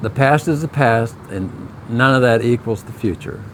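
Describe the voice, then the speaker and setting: A man talks at medium pitch and a moderate pace with lively intonation. Background noise is noticeable. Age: 70s. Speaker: video creator, husband. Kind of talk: casual chat.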